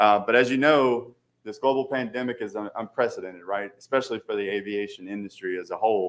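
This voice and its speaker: On a very clean recording with a silent background, a man with a Southern accent talks at a very fast pace. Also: medium pitch for a man, fairly even intonation. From Louisiana. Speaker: aviation consultant. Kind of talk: presentation to city council. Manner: halting, many fillers.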